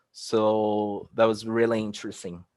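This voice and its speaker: In a Portuguese accent, a man speaks at medium pitch and a fairly slow pace against a quiet background. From Brazil, Rio de Janeiro. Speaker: researcher. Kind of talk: conference presentation. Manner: halting.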